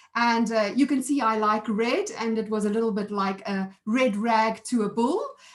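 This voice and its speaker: Over noticeable background noise and audible room echo, the speaker keeps a moderate pace with fairly even intonation and hardly any pauses. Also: woman, fairly high pitch for a woman. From South Africa. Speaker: board director and entrepreneur. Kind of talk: conference presentation.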